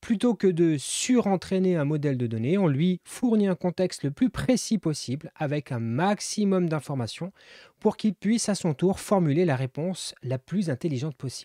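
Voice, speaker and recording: A man's high-pitched voice with lively intonation at a moderate pace, dry and close with no echo, on a very clean recording with a silent background. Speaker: developer YouTuber. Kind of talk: tutorial. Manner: casual with frequent hesitations.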